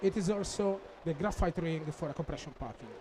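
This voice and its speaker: A man delivers his words at a moderate pace while noticeable background noise carries on. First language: Italian. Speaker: applications engineer. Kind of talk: technical conference presentation. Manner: halting, many fillers.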